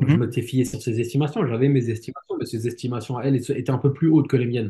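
Very fast and somewhat breathy, this man's voice sits at a medium pitch with a dark, mellow tone and fairly even intonation. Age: 30s. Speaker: podcast host, healthcare worker and real estate coach. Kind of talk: casual chat.

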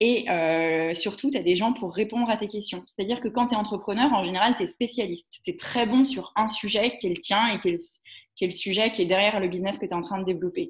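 A woman talks at a very fast pace with medium pitch, lively intonation and a somewhat breathy quality. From Alsace, Strasbourg. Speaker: entrepreneur. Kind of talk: interview.

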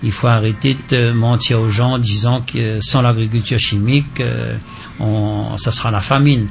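Speaking at a fairly slow pace, a man keeps a medium pitch and fairly even intonation. There is audible room echo along with noticeable background noise. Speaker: farmers' association representative. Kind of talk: radio interview.

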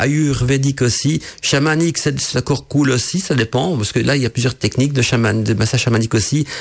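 A man with a medium pitch talks at a fairly quick pace, somewhat breathy, with ordinary pitch variation and very even loudness. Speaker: radio host on witchcraft and esotericism. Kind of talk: solo radio talk show. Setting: radio studio. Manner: hesitant, many fillers and repetitions.

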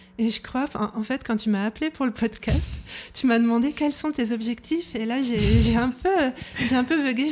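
A somewhat breathy woman's voice at a moderate pace with ordinary pitch variation. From Brittany, France. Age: 30s. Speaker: illustrator. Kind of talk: casual interview.

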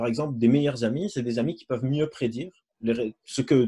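Here a man speaks very fast at a medium pitch, with fairly even intonation. His tone is dark and mellow, and somewhat breathy. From Lebanon. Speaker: psychologist and neuroscientist. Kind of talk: lecture. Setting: video call.

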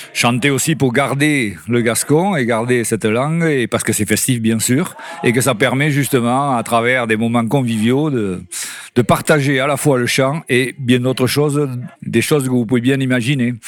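At a moderate pace and with very even loudness, a man talks in an ordinary speaking voice with ordinary pitch variation. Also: medium pitch for a man. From Landes, Gascony. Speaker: retiree, workshop member. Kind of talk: interview.

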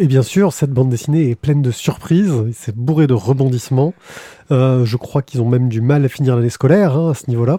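Somewhat breathy and dark, mellow in tone, a man speaks at a fairly quick pace in a medium pitch with ordinary pitch variation. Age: 40s. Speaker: podcast host. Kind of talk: casual chat; reading aloud.

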